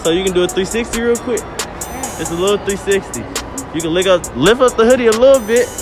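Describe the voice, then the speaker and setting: Against clear music in the background, a man speaks at a fairly quick pace in a dry sound with no echo. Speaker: street interviewer. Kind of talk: casual public interview banter. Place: market.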